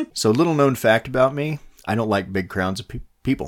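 A man talks at a fairly quick pace with lively intonation in an unremarkable speaking voice. The recording is very clean, with a silent background. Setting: home recording with two mics.

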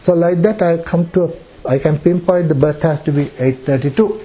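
A high-pitched man at a fairly slow pace, over noticeable background noise. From Sri Lanka. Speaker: astrologer. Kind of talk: public talk. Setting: room with audience. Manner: halting.

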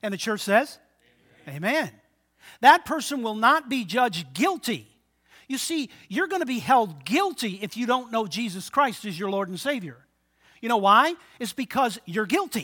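In a very clean recording with a silent background, a man uses a raised, projected voice at an extremely high pitch, his tone bright and sharp, with very wide pitch swings, a moderate pace and long, frequent pauses. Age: 60s. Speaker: pastor. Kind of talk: sermon. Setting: church.

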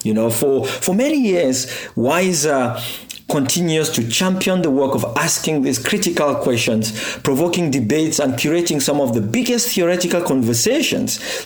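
A man speaks at a moderate pace and fairly high pitch with lively intonation. Noticeable background noise and audible room echo fill the recording. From Cameroon. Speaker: anthropologist. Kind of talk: recorded reflection. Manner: hesitant, many fillers.

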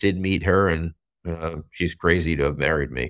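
At a moderate pace, a man speaks in a very clean recording with a silent background. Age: 40s. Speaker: sports business reporter. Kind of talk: casual interview chat.

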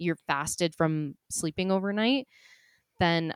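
A plain, everyday voice with ordinary pitch variation sounds dry and close with no echo in a very clean recording with a silent background. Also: woman. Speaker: nutritionist co-host. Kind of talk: casual chat.

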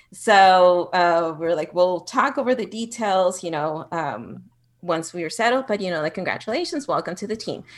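A woman with a Spanish accent, medium pitch and lively intonation, on a very clean recording with a silent background. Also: moderate pace. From Mexico, Ciudad Juarez border town. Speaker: executive assistant. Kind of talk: interview.

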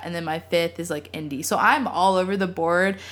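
Here a woman with an American accent has a fairly low pitch and fairly even intonation. It is an unremarkable speaking voice. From Texas, Austin. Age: 20s. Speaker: photographer and student. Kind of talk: casual chat.

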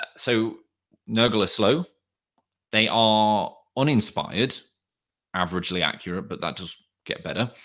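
With a British accent, a man is speaking. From England. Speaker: tabletop game player, medical professional. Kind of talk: casual chat. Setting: remote call from home.

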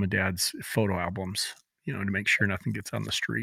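There is vocal fry in a man's fairly low, bright and sharp voice, captured dry and close with no echo on a very clean recording with a silent background. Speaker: podcast co-host. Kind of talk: casual chat. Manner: joking, chatty.

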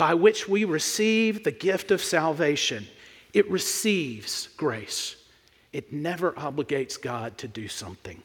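Big swings in loudness and very wide pitch swings mark this man's high voice, delivered with an American accent. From US South, Mississippi. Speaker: pastor. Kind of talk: sermon. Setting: church.

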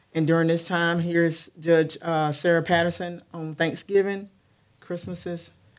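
With an American accent, a woman speaks at a moderate pace and a fairly low pitch in a monotone, flat intonation. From Connecticut, New Haven, then North Carolina. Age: 40s. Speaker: police officer. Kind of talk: testimony.

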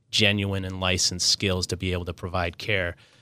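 A man talks with an American accent in a bright, sharp tone. The recording is very clean, with a silent background. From Minnesota. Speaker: nonprofit executive, retired naval officer. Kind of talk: casual interview. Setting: studio.

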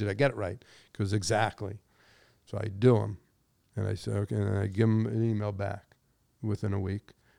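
With a Californian accent, a man speaks at a fairly low pitch in a dark, mellow tone on a very clean recording with a silent background. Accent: Californian American. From Los Angeles, San Fernando Valley. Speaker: business executive. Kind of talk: interview. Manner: halting.

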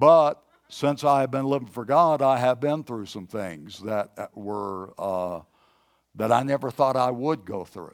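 With a plain, everyday voice, a man talks fairly slowly at medium pitch, his intonation lively and his loudness swinging widely. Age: 60s. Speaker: pastor. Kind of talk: sermon. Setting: church service, streamed online.

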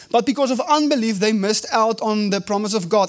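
Over noticeable background noise, a man with a South African accent speaks fairly quickly at a high pitch with ordinary pitch variation. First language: Afrikaans. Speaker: evangelist, guest preacher. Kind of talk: sermon. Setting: church service.

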